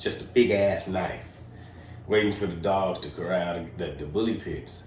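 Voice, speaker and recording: A man speaks with an American accent at a fairly low pitch. His pace is moderate, and audible room echo surrounds the voice. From Georgia, US South. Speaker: podcast host. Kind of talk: casual chat. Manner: animated.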